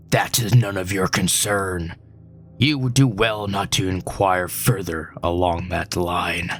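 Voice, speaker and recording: A put-on character voice from a man, raspy and very deep, at a fairly slow pace over clear background noise. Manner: furious, curt.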